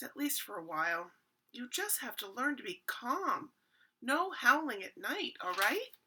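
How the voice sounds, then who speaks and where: A woman does a put-on character voice with a gentle, warm tone. It is high-pitched, with very wide pitch swings, at a moderate pace. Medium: read story.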